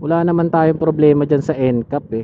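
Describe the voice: This is a man speaking. His pitch is fairly high.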